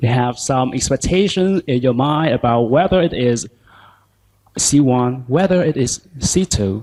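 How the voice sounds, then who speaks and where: With lively intonation and very even loudness, a man talks at a fairly slow pace in a medium pitch. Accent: Vietnamese. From southern Vietnam, Ho Chi Minh City. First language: Vietnamese. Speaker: language teacher. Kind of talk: conference talk.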